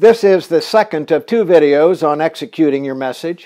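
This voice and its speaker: Over a quiet background, a man talks at a moderate pace. He has a plain, everyday voice, pitched fairly high. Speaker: political consultant. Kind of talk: scripted narration, tutorial. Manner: formal, measured, authoritative.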